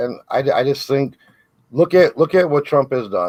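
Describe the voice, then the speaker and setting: A man is talking. He sounds animated. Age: 40s. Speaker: political debater. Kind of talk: heated debate.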